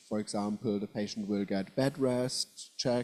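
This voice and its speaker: At a moderate pace, a man talks in a medium pitch with a dark, mellow tone and fairly even intonation. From southwest Germany. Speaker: professor. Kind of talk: lecture. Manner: halting.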